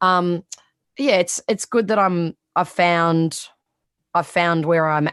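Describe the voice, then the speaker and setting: Very slow and with long, frequent pauses, a woman with a strong Australian accent speaks at a fairly low pitch and a very even loudness. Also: ordinary pitch variation. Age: 30s. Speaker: sports reporter. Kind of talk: podcast interview.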